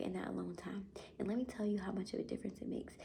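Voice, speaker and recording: A woman is speaking. She whispers throughout. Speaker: vlogger. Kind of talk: casual chat. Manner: whispering.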